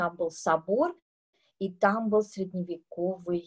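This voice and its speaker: Against a quiet background, a woman speaks at a very slow pace. Her pitch is fairly low. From Uzbekistan, Tashkent; Uzbekistan. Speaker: composer; guest lecturer. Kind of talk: masterclass talk to students. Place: home room. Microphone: video call.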